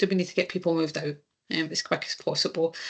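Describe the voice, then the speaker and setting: With a Scottish accent, a woman speaks at a fairly low pitch in a monotone, flat intonation against a quiet background. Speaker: insurance claims presenter. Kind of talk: webinar presentation. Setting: online webinar. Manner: hesitant, many fillers.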